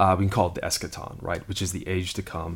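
The recording is very clean, with a silent background. The voice is somewhat breathy. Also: man. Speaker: lead pastor. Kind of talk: casual conversational podcast discussing the Bible.

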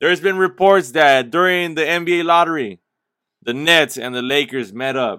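A man speaks at a moderate pace with ordinary pitch variation and a bright, sharp tone. The recording is very clean, with a silent background. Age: 20s. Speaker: sports podcast host. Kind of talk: solo podcast commentary. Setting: talking into a camera and microphone. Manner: energetic.

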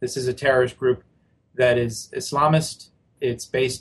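Somewhat breathy, a man speaks at a moderate pace and a medium pitch. His intonation is monotone and flat. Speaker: policy analyst. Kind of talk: news interview.

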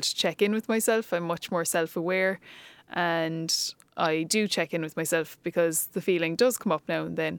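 A woman in a Cork accent speaks at a moderate pace and fairly low pitch, the sound dry and close with no echo, in a very clean recording with a silent background. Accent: Cork Irish. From Ireland, Cork. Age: 30s. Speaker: teacher and empowerment coach. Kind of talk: casual interview chat.

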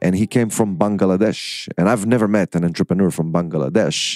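A man's fairly low voice with an Israeli accent, moderate pace, and a very clean recording with a silent background, the sound dry and close with no echo. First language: Hebrew. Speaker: podcast host and entrepreneur. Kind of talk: interview.

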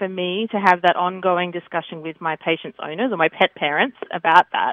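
With an Australian accent, a woman speaks at a fairly quick pace. Her pitch is medium. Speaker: veterinary dermatologist. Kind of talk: interview.

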